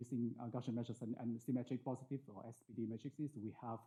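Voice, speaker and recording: The pace is very fast. The speaker is a man. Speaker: mathematics researcher. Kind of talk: lecture. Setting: conference talk with audience. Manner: hesitant, many fillers.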